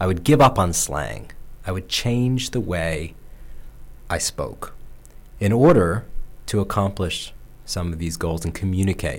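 A man with a very deep, low pitch speaks at a fairly slow pace, with long, frequent pauses. His voice has vocal fry and very wide pitch swings. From upstate New York. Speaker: radio host. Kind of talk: inspirational monologue. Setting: radio studio.

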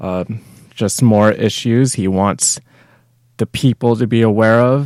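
A man's voice with fairly even intonation. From Canada. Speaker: podcast host. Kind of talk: casual chat.

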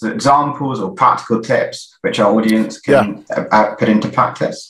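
The speaker has a South London accent. The pace is moderate. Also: man. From South London, England. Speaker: stand-in webinar host. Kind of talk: live webinar hosting. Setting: video call.

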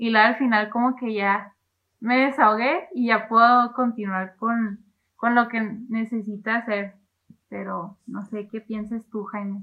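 A normal speaking voice from a woman, fairly high in pitch, at a fairly slow pace with fairly even intonation and big swings in loudness. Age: 20s. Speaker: student. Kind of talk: casual chat.

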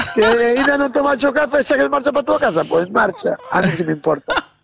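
The man's intonation is lively. He keeps a moderate pace. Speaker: truck driver. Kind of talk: casual chat.

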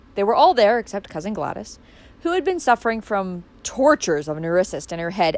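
Someone reads in a natural reading voice.

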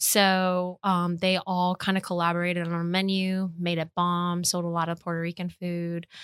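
A woman's fairly low, monotone voice with an American accent, flat in intonation, at a moderate pace with hardly any pauses. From US Northeast, New York City (Queens, East Harlem). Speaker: chef. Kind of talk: casual chat.

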